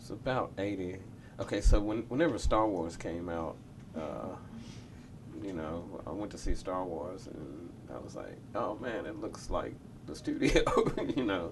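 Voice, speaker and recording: At a fairly slow pace, a man with a fairly low pitch and a somewhat breathy voice uses lively intonation and big swings in loudness, leaving long, frequent pauses amid audible room echo. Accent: Memphis. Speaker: record producer. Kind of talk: interview.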